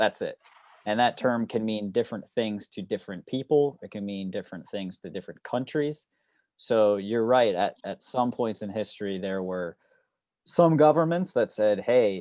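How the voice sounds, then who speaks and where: At a moderate pace, a man with an unremarkable speaking voice talks at a medium pitch, with lively intonation and big swings in loudness. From US. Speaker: student of underwater archaeology. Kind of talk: casual Q&A talk. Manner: relaxed, informal.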